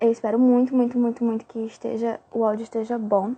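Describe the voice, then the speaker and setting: This woman has a Brazilian accent. Her pitch is fairly high. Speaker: fan page manager. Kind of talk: livestream chat. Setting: live stream.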